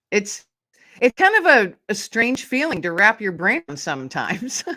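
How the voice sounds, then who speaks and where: In an American accent, a woman with a fairly high, bright, sharp-toned voice speaks at a moderate pace, her pitch swinging very widely and her loudness shifting a great deal, in a dry, close recording with no echo that is very clean against a silent background. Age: 50s. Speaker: author and podcast host. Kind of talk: interview conversation.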